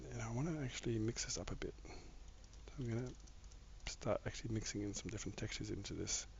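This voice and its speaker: A man speaks at a very fast pace. There is audible room echo. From Australia, Victoria. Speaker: gaming live streamer. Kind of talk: casual live stream chat while gaming. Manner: halting, many fillers.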